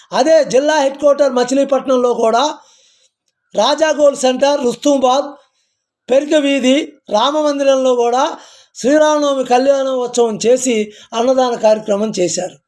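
Here is a man with an extremely high pitch. His intonation is fairly even, and his loudness stays very even. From Telangana, Bhadradri Kothagudem (Charla, near Bhadrachalam). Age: 50s. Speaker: community activist. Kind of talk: devotional talk to camera.

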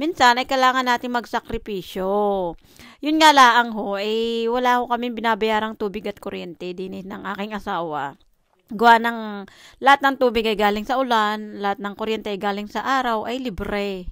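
In a dry recording with no echo and a quiet background, a woman speaks in an unremarkable speaking voice with big swings in loudness. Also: fairly high pitch for a woman, ordinary pitch variation, moderate pace. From Philippines. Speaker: vlogger. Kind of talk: casual vlog monologue. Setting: at home. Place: home room. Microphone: phone near.

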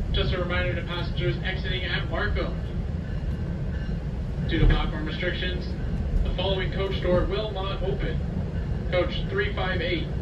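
Over loud background noise, a man talks at a moderate pace with long, frequent pauses. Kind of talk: public announcement. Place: train.

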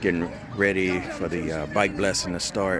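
The sound is dry, with no echo. There is noticeable background noise. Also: man. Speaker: motorcycle rider vlogger. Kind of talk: casual vlog chat. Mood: relaxed and cheerful. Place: street. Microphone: phone near.

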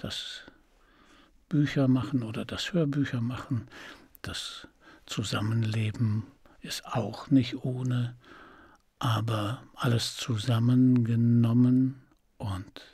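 Against a quiet background, a man speaks at a very slow pace with long, frequent pauses, his somewhat breathy voice dark and mellow in tone, with fairly even intonation and a dry sound with no echo. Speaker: voice actor and audiobook narrator. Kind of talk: interview answer. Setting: interview. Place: studio. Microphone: studio mic.

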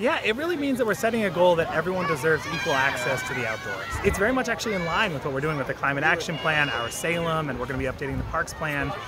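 Against loud background noise, a man rattles along at a very fast pace with hardly any pauses, in a dry sound with no echo. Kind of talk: interview answer. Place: open country.

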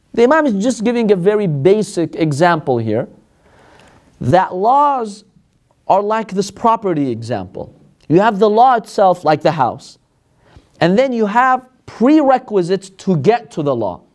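A man talks at a moderate pace with very wide pitch swings. The background is quiet. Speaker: religious teacher. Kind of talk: lecture. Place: classroom. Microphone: lapel.

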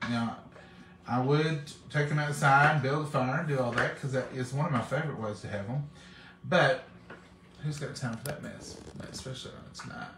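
At a moderate pace, a man talks with big swings in loudness, long and frequent pauses, and ordinary pitch variation, with noticeable background noise behind him. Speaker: home cook vlogger. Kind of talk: casual cooking vlog chat. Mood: relaxed, chatty. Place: kitchen. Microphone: phone near.

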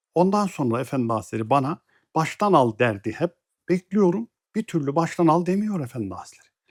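In a very clean recording with a silent background, a man speaks at a fairly quick pace and a fairly high pitch. His pitch swings very widely, and the sound is dry and close with no echo. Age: 60s. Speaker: religious teacher. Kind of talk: religious talk, personal memoir. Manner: measured, formal.

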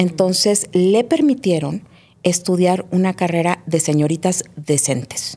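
With a dark, mellow tone, a woman speaks at a fairly slow pace in a fairly low voice with ordinary pitch variation. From Mexico City. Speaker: writer and therapist; guest. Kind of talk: personal testimony interview. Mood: reflective, earnest. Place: studio. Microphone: studio mic.

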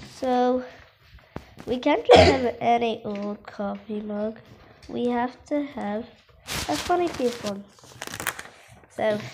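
Loud background noise surrounds a woman speaking at a very slow pace with long, frequent pauses. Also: ordinary pitch variation. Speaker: drawing instructor. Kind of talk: tutorial. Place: home room. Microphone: phone near.

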